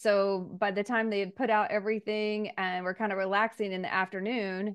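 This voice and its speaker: It is an ordinary speaking voice: a woman with an American accent at a medium pitch. She talks at a moderate pace over a quiet background. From Missouri, US Midwest. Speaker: state senate candidate. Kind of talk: interview.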